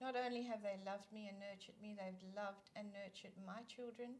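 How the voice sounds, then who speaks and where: The speaker talks at a fairly quick pace in a South African accent. Intonation stays fairly even throughout. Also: woman. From South Africa (East London). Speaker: children's ministry leader. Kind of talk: casual interview chat.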